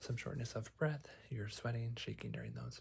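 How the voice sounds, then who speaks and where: This man is soft-spoken and calm in tone. He keeps to a moderate pace. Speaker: psychologist (roleplay). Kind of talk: ASMR therapy roleplay, guided breathing. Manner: soft-spoken, calm, reassuring.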